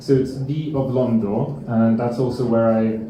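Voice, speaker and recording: A man speaks at a fairly slow pace in a medium pitch. Audible room echo and noticeable background noise surround him. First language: Lithuanian. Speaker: musician. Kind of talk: lecture. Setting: stage with audience. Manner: halting.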